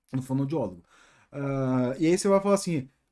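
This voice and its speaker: With an animated tone, a man speaks in very wide pitch swings. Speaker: software development youtuber. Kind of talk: casual monologue.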